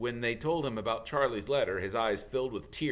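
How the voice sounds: A natural reading voice, pitch rising and dipping by typical amounts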